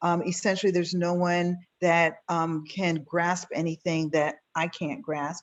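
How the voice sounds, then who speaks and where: Speaking in an unremarkable speaking voice, a woman with a fairly low pitch and fairly even intonation talks at a fairly slow pace with hardly any pauses. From New York City (Queens). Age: 50s. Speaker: physician and business founder. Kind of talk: panel interview.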